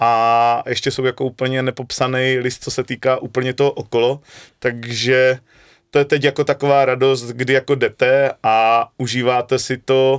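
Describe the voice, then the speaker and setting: Against a quiet background, a man speaks with a Moravian accent. His delivery is fairly slow, with monotone, flat intonation. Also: medium pitch for a man. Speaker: football coach. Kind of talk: interview. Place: studio. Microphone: studio mic.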